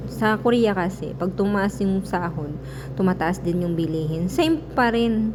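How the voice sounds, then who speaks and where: With lively intonation, a woman speaks at a moderate pace and medium pitch, with audible room echo and noticeable background noise. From Philippines. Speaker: vlogger. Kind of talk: vlog voice-over. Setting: voice-over recorded separately. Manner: casual, hesitant.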